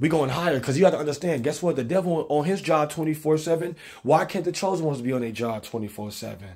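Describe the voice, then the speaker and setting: Over a quiet background, a man with a fairly high pitch talks at a very fast pace in an animated tone, with ordinary pitch variation and hardly any pauses. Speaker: preacher. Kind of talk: sermon. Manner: rhythmic, exhortational, call-and-response cadence. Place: kitchen. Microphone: phone near.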